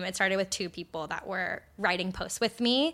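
In a very clean recording with a silent background, a woman with a bright, sharp tone speaks at medium pitch with fairly even intonation. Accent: American. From Arizona. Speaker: media executive. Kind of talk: interview.

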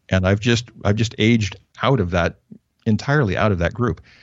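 A man with a General American accent has an unremarkable speaking voice, pitched fairly low. He talks at a fairly quick pace with ordinary pitch variation. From US Northwest, northern Idaho. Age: 50s. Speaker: pastor. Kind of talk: interview. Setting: phone call.

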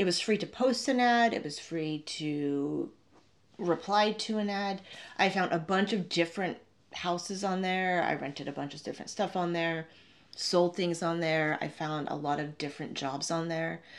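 In a very clean recording with a silent background, a woman with a North American accent has an unremarkable speaking voice, a fairly low pitch, ordinary pitch variation and a moderate pace. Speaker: travel vlogger and podcaster. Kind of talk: solo storytelling podcast. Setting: Airbnb room, video podcast.

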